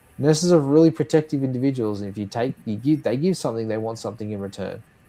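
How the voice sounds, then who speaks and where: In a very clean recording with a silent background, a man with an Australian accent talks at a very fast pace, his dark, mellow voice at a medium pitch with ordinary pitch variation and big swings in loudness. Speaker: nurse and health tech founder. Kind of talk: podcast interview.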